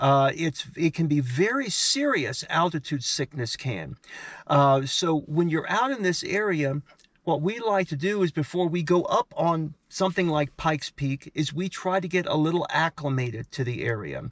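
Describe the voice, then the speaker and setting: At a moderate pace, a man speaks with a fairly high pitch and lively intonation in a dry, close sound with no echo. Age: 60s. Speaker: travel vlogger. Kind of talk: casual to-camera talk. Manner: halting, many fillers.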